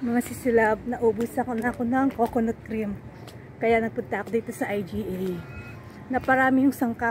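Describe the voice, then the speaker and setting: Noticeable background noise sits behind a woman speaking at a moderate pace, her fairly high pitch held in fairly even intonation. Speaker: vlogger. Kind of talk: casual vlog chat. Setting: in a car.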